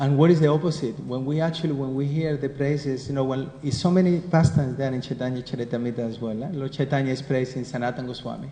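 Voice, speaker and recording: A man with a Spanish accent, a fairly high pitch, fairly even intonation, a very fast pace and hardly any pauses. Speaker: spiritual teacher. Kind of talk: scripture class. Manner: conversational.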